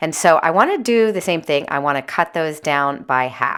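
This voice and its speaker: A woman with a bright, sharp tone, lively intonation and a fairly quick pace. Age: 50s. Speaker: homemaking vlogger, goat farmer and thrift reseller. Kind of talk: casual vlog narration. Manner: occasionally loud, yelling to sister on phone.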